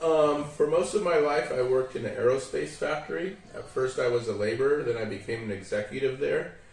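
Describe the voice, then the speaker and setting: With an American accent, a man speaks at a fairly quick pace and a fairly high pitch, with audible room echo and noticeable background noise. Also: ordinary pitch variation. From US West, San Diego, California. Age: middle-aged. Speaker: English teacher. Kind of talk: interview.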